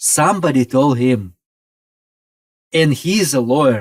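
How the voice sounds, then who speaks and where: Speaking at a very slow pace, a man holds a medium pitch with ordinary pitch variation. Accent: Russian. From Russia (former Soviet Union). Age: 50s. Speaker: pastor. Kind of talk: podcast interview. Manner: halting, broken English.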